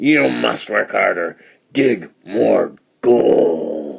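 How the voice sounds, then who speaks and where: A man bellows in a growling, put-on character voice. The act is loud and rough throughout. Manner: bellowing, harsh.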